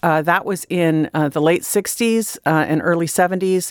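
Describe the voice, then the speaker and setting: This woman has an ordinary speaking voice, pitched fairly low, with fairly even intonation. The sound is dry and close, with no echo. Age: 50s. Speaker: English professor. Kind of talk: interview.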